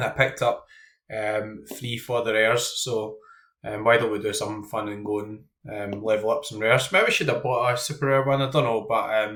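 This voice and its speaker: Speaking with a Scottish accent, a man uses a medium pitch and fairly even intonation in a bright, sharp tone. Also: moderate pace, very clean recording, silent background. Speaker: fantasy football content creator. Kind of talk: casual commentary while team building. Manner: hesitant, many ums.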